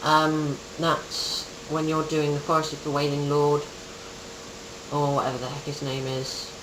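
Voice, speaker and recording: Moderate pace broken by long, frequent pauses, over noticeable background noise. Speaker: gaming guide creator. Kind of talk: tutorial. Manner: hesitant, many ums.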